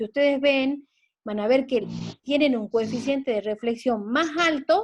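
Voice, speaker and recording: A woman's high-pitched voice at a fairly slow pace. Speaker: teacher. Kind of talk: lecture. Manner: halting.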